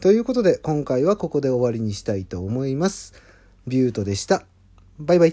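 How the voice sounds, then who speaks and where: A dark, mellow tone moves at a fairly quick pace with very wide pitch swings, in a very clean recording with a silent background. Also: man, fairly high pitch for a man. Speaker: singer-songwriter. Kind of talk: casual monologue.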